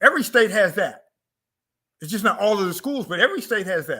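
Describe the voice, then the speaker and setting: The recording is very clean, with a silent background. A man with a high pitch uses a raised, projected voice. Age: 60s. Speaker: author and cultural teacher on African culture. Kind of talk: interview monologue on culture and economics. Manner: emphatic, repetitive.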